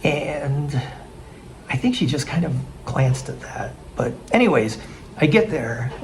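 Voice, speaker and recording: A man's voice, with audible room echo and noticeable background noise. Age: 60s. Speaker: expat vlogger. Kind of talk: casual vlog narration. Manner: halting, many restarts.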